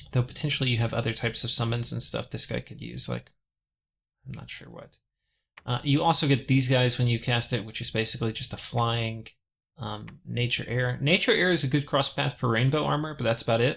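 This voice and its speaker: A man speaks at a fairly quick pace, mumbling his words. The recording is very clean, with a silent background. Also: medium pitch for a man, ordinary pitch variation. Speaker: gaming video creator. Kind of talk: casual gameplay commentary. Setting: compressed audio recording.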